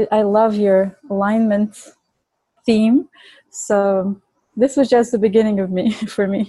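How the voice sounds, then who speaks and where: Speaking at a very slow pace with long, frequent pauses, a woman with a Bulgarian accent sounds somewhat breathy. Her pitch is fairly high and her intonation fairly even. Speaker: Ayurvedic chef and author. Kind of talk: interview conversation.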